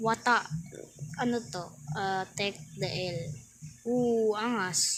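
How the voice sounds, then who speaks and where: Long pauses come often in this very slow speech, and the pitch varies by an ordinary amount. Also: woman, medium pitch for a woman. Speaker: gaming YouTuber. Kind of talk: gameplay commentary. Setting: alone in private game server. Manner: soft-spoken; casual, halting.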